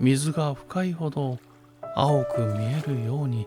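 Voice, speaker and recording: Music plays in the background while the speech moves at a very slow pace. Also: man. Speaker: narrator. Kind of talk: sleep story reading. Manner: gentle, soft-spoken, slow.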